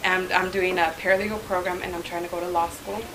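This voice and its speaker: Amid noticeable background noise and audible room echo, a woman with an American accent talks at a fairly quick pace in a fairly low pitch with monotone, flat intonation. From Southern California, raised from early childhood after moving from Mexico. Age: 20s. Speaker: guest speaker, club president-elect. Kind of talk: informal talk to a club meeting. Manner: hesitant, many fillers.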